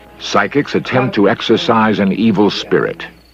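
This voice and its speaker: Amid noticeable background noise, a man with a medium pitch talks at a moderate pace in a calm tone with lively intonation. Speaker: documentary host, narrator. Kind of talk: vintage documentary narration. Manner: calm, measured.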